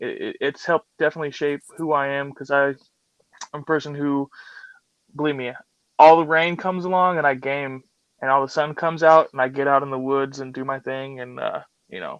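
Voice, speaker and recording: Speaking with an American accent, a man has a fairly high pitch. He talks at a fairly quick pace with fairly even intonation. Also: dry, close sound with no echo. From US Pacific Northwest, Seattle area. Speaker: podcast co-host. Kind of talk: casual chat. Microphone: phone with technical issues.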